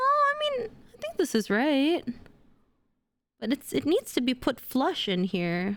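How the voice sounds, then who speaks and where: Pausing long and often, a woman with a high voice speaks at a fairly slow pace, her pitch swinging very widely. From Indonesia. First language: Indonesian. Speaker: streamer. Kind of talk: casual chat. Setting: livestream. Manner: animated.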